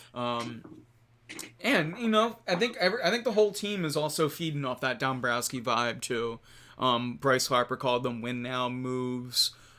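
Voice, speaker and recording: With a Philadelphia accent, a man talks at a medium pitch in a bright, sharp tone with lively intonation, recorded very cleanly over a silent background. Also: moderate pace. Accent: Philly. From Philadelphia, US. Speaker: sports podcast host. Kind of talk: casual sports talk livestream. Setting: live stream with chat.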